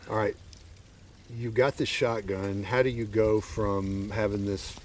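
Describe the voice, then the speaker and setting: Over noticeable background noise, a man with a Southern US accent and fairly low pitch speaks at a moderate pace. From Arkansas. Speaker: podcast host. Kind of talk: casual chat. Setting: outdoors.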